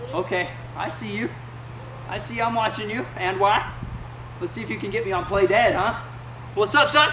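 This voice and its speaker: Over noticeable background noise, a man speaks in a raised, projected voice. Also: moderate pace. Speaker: playful dad coaching kids. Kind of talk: playful instructions to children. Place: garden. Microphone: camera far.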